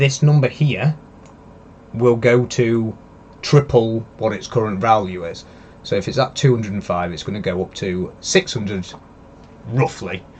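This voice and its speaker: With a Leeds accent, a man speaks at a medium pitch and a moderate pace, using lively intonation. He leaves long, frequent pauses. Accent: some Leeds. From northern England, Yorkshire near Leeds. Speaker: crypto live streamer. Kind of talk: live stream analysis. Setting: live stream from computer. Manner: hesitant, many fillers.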